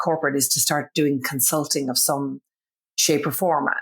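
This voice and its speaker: With an Irish accent, a woman in a very deep, low pitch speaks at a fairly quick pace with fairly even intonation in a very clean recording with a silent background. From Ireland. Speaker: business founder. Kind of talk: podcast interview.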